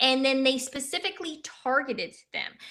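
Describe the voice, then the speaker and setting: A woman's voice with a bright, sharp tone. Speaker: political talk show co-host. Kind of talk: casual live-stream discussion. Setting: live stream. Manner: fast.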